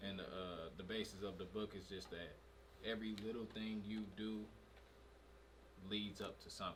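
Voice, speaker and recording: A man's fairly low, monotone, flat voice at a moderate pace, with long, frequent pauses, audible room echo and noticeable background noise. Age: 20s. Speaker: podcast co-host. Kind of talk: casual chat.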